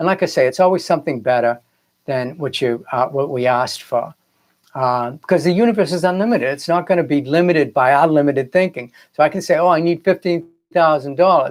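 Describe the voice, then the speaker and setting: Talking at a very fast pace with a Boston accent, a man with a fairly high pitch shows ordinary pitch variation. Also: very clean recording, silent background. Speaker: filmmaker and spiritual coach. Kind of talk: live broadcast talk. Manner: casual, hesitant with fillers.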